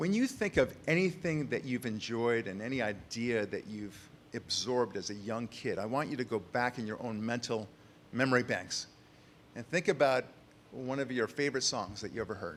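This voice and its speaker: Average-speed talk from a man with an ordinary speaking voice at a middle pitch, his intonation lively. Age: 60s. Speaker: author. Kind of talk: conference speech.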